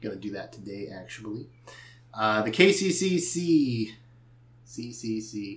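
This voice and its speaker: Speaking very slowly with long, frequent pauses, a man uses a somewhat breathy, medium-pitched voice. His intonation is lively and his loudness swings widely. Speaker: gaming podcast host. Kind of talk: casual chat.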